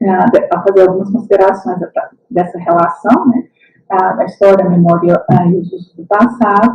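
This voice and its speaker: Her pitch sits at a medium level, and the woman's pitch variation is ordinary. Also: moderate pace, big swings in loudness. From Brazil, Minas Gerais. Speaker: historian and university lecturer. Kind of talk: lecture. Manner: hesitant, many fillers.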